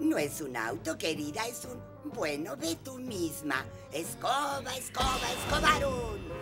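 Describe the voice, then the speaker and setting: A female-sounding put-on character voice speaks fairly slowly at a fairly low pitch. Loud music plays in the background. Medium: dub.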